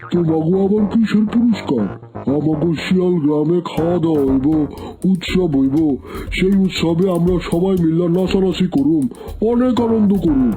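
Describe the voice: A cartoonish character voice moves at a moderate pace with a middle pitch. Clear background noise runs underneath.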